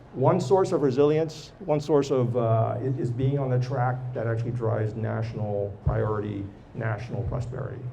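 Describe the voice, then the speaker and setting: A man with a medium pitch speaks at a fairly quick pace. Music plays in the background, and the room echo is audible. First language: not English or French. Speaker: tech executive and entrepreneur. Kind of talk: live podcast interview. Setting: live recording with audience.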